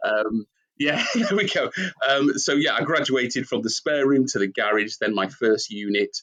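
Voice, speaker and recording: Recorded dry and close with no echo, a man with a Manchester accent talks in a fairly high pitch with lively intonation and very even loudness. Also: moderate pace. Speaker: company founder and CEO. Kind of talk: interview. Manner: hesitant with fillers.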